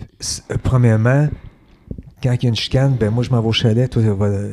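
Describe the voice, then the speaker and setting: In a Quebec accent, a man speaks at a moderate pace and medium pitch, with monotone, flat intonation and long, frequent pauses. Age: 60s. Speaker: podcast guest. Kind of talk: casual interview chat.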